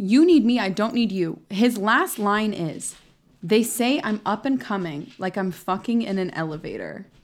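On a very clean recording with a silent background, a woman with an ordinary speaking voice talks at a moderate pace. Her pitch is fairly high and her intonation lively. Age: 20s. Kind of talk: casual chat.

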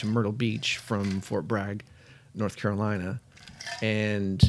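Against noticeable background noise, a man speaks at a moderate pace and a medium pitch. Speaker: podcast co-host. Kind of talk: casual chat. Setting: studio.

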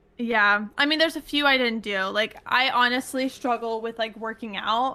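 Speaking at a moderate pace, a woman with a West Coast accent has a fairly high pitch and ordinary pitch variation. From US Pacific Northwest, Washington. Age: 20s. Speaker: content creator. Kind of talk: casual chat.

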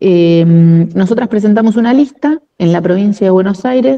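In a normal speaking voice, a woman talks at a moderate pace with medium pitch and ordinary pitch variation. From Argentina, La Plata. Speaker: union leader and administrative worker. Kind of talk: interview.

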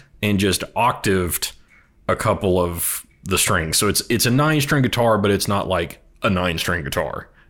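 Speaking in an American accent, a man has an unremarkable speaking voice, fairly low in pitch with lively intonation, very even loudness and a moderate pace, on a very clean recording with a silent background. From Texas. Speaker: music enthusiast guest. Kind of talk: casual chat.

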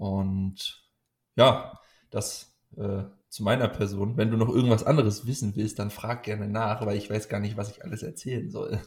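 This man has a fairly low pitch, a somewhat breathy voice and fairly even intonation. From Munich, Bavaria. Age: 20s. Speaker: powerlifting coach and athlete. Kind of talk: casual interview chat. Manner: hesitant, many filler sounds.

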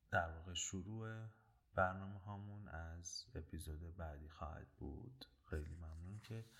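A man's very deep, low voice at a fairly slow pace, ordinary in pitch variation but with big swings in loudness. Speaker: podcast host. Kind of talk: casual podcast intro.

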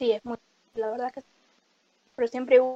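A woman is speaking. Her pitch is fairly high. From Uruguay. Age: 20s. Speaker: podcast co-host, university student. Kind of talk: casual chat.

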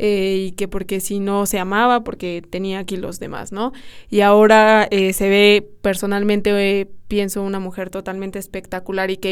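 A woman is talking at a medium pitch. Her delivery is monotone and flat. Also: very clean recording, silent background. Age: 20s. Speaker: podcast host, university student. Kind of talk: casual chat.

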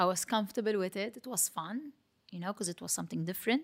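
The recording is very clean, with a silent background. The speaker has a Maltese accent. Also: woman. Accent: Maltese local. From Malta, Mtarfa. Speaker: fitness competitor and trainer. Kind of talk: interview.

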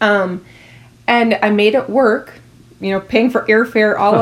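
A woman's medium-pitched voice with an Upper Midwest accent. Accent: Upper Midwest (Minnesota). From New Ulm, Minnesota. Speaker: former athlete. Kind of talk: interview.

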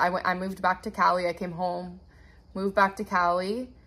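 A woman talks at a fairly quick pace in a medium pitch. Her intonation is flat and monotone. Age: 20s. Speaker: podcast host and TikTok creator. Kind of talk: casual chat.

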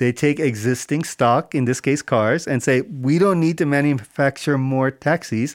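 A plain, everyday voice from a man of fairly high pitch, with ordinary pitch variation at a moderate pace, in a dry, close sound with no echo on a very clean recording with a silent background. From US. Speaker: climate startup accelerator founder. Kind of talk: interview.

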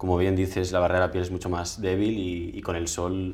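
Audible room echo surrounds a man with a very deep, low pitch. He talks at a fairly quick pace in a monotone, flat intonation. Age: 20s. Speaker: patient with atopic dermatitis. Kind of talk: interview testimony. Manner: halting, with frequent repetitions.

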